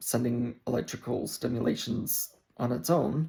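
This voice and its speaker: A man's medium-pitched voice with vocal fry. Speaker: vlogger. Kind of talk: casual chat. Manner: halting.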